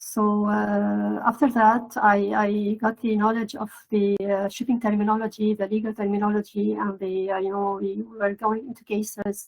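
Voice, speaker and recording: A woman's flat, monotone delivery at a moderate pace, with hardly any pauses. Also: medium pitch for a woman. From Lebanon (Beirut). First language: Arabic. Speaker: maritime translator and procurement professional. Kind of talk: podcast interview. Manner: hesitant, many filler words.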